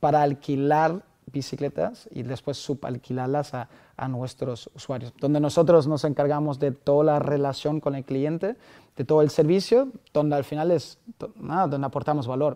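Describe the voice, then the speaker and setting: A man with a non-native accent and a fairly high, dark and mellow voice speaks at a moderate pace over a quiet background. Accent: foreign accent in Spanish. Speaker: startup founder. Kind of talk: podcast interview answer. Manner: enthusiastic.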